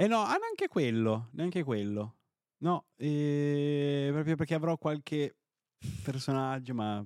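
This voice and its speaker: Lively intonation at a very slow pace. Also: man. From Piedmont, Italy. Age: 30s. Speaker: online video creator, office worker in food sector. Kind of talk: casual interview chat. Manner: jokey, hesitant, filler-heavy.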